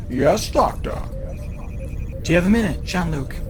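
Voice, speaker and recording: A man puts on a character voice at a moderate pace while loud noise fills the background. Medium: game stream. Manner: measured, formal.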